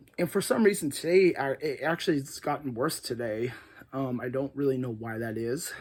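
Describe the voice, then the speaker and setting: Putting on a character voice, a man talks at a fairly quick pace with a raspy sound and medium pitch. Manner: slightly winded.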